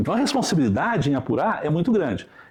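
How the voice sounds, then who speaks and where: A man talks in a high pitch. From Brazil, São Paulo state (Restinga, near Franca). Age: 60s. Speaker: police chief. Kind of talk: interview. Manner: halting.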